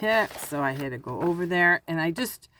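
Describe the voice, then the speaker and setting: Against noticeable background noise, a woman with a fairly low pitch speaks at a fairly slow pace with lively intonation. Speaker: crafting channel host. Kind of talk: casual craft show-and-tell.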